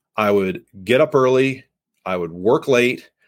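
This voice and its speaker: A man's unremarkable speaking voice at a fairly slow pace, with ordinary pitch variation. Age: 40s. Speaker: sales podcast host and coach. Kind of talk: live podcast monologue. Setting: livestream on LinkedIn with online audience.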